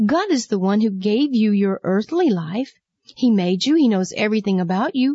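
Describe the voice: Over a quiet background comes plain reading aloud with lively intonation.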